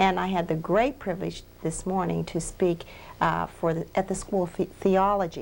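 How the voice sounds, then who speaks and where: With an American accent and vocal fry, the voice keeps a moderate pace and fairly even intonation. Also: woman, medium pitch for a woman. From Pennsylvania. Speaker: minister running addiction treatment ministry. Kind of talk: interview.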